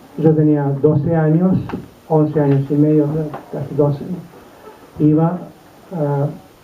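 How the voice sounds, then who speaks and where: A man speaks at a fairly slow pace in a monotone with flat intonation, and the room echo is audible. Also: long, frequent pauses. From Serbia (Belgrade, former Yugoslavia). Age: 80s+. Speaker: Holocaust survivor. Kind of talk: testimony talk to students. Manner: hesitant, with fillers.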